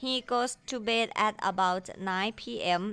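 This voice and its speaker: The voice has a bright, sharp tone. Its background is silent in a very clean recording. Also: woman. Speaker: primary school English teacher. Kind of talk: lesson, tutorial. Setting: video lesson. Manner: formal; animated.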